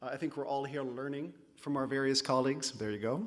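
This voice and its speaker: A Californian accent with fairly even intonation. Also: man. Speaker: conference speaker, PhD candidate. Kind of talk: conference talk. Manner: hesitant, with fillers.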